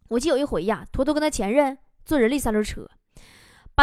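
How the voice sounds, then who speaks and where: Talking at a very fast pace in a Northeastern Chinese accent, a woman sounds animated. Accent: Northeastern Mandarin. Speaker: stand-up comedian and show host. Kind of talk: comedic monologue.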